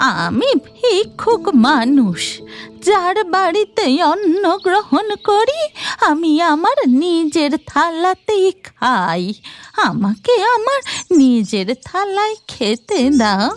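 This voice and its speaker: A cartoonish character voice, gentle in tone, very slow, with very wide pitch swings and faint music in the background. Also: female-sounding voice, extremely high pitch for a woman. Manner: gentle, grandmotherly.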